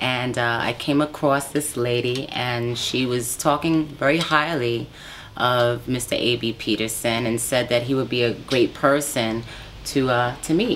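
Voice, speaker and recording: A woman in an American accent speaks at a fairly slow pace with a very deep, low pitch and fairly even intonation, over noticeable background noise. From New York, Brooklyn. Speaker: R&B soul singer. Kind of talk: interview.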